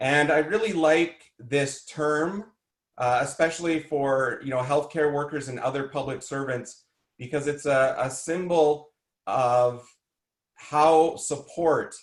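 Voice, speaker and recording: Audible room echo surrounds a man speaking at a very slow pace with fairly even intonation. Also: fairly high pitch for a man. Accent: Canadian. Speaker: emergency management trainer and coach. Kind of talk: conference presentation. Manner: loud.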